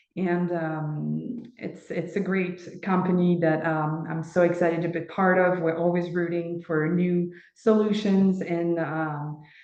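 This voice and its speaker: A woman's fairly low, monotone voice at a fairly slow pace, with flat intonation, noticeable background noise and audible room echo. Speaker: training company assistant manager. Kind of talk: webinar presentation. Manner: halting, many fillers.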